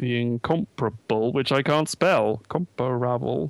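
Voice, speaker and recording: In a normal speaking voice of medium pitch, a man speaks at a fairly slow pace, the sound dry and close with no echo. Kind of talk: casual chat. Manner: bantering, joking.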